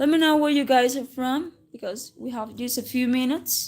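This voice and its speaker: Her pitch high, a woman speaks at a moderate pace. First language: Spanish. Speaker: English teacher. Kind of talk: livestream English lesson. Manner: casual, with self-corrections and restarts.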